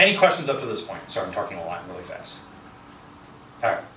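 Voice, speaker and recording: A man's voice against noticeable background noise. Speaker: high school math teacher and coach. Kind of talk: first-day classroom talk to students. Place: classroom. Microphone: camera far.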